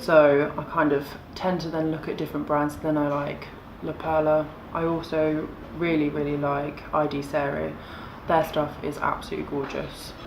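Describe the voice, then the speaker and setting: In an English accent, a woman with a very deep, low pitch talks at a moderate pace in a monotone, flat intonation, with audible room echo and noticeable background noise. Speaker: lingerie designer and brand founder. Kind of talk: casual interview. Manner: loud.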